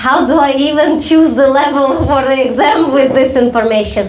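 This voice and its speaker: Noticeable background noise and audible room echo accompany this woman as she talks at a moderate pace. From Belarus. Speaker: comedy show host. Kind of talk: live comedy show banter. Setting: stage with audience.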